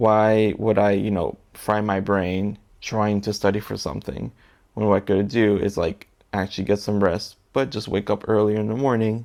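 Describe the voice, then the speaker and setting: A man with an American accent speaks at a fairly slow pace, his intonation fairly even. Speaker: assistant language teacher and vlogger. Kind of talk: personal vlog monologue. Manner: low-pitched, subdued; hesitant, many fillers.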